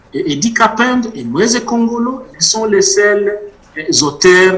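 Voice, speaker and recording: A man speaks over noticeable background noise. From DR Congo, South Kivu (Bukavu area). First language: Mashi (speaking French). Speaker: author and witness. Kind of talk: interview testimony.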